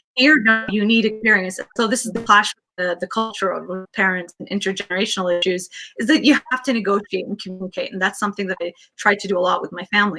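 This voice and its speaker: Over music in the background, a woman with a Canadian accent speaks very fast at a medium pitch, with ordinary pitch variation, big swings in loudness, and a dry, close sound free of echo. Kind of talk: interview.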